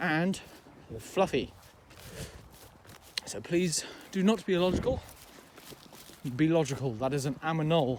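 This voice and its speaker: With noticeable noise behind him, a man talks fairly slowly and pauses often and at length. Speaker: vlogger. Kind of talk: casual walking vlog monologue. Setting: outdoors walking in fields. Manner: loud; rambling with many fillers.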